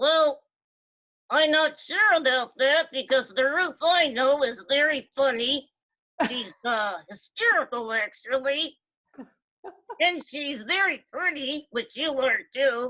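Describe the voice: Using a put-on character voice, a woman speaks high in pitch with lively intonation at a fairly slow pace.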